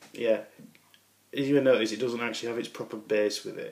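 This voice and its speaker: Speaking with a Yorkshire accent, a man uses a medium pitch and a monotone, flat intonation. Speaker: miniature painter. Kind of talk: casual talk to camera.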